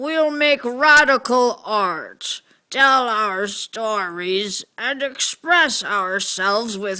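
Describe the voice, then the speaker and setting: A put-on character voice talks at a very slow pace with hardly any pauses, on a very clean recording with a silent background. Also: female-sounding voice, high pitch for a woman. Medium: stage play.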